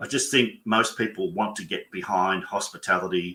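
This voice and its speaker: A man with an Australian accent and a bright, sharp tone, ordinary pitch variation and a moderate pace. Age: 60s. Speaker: business mentor and bookkeeper. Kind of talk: webinar conversation.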